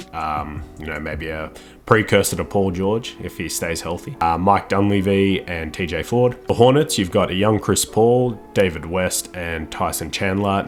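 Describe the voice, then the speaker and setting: A man with an Australian accent and a very deep, low pitch speaks at a moderate pace with hardly any pauses. His pitch varies in an ordinary way over noticeable background noise. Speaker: gaming youtuber, NBA 2K commentator. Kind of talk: gameplay commentary. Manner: casual, with filler words.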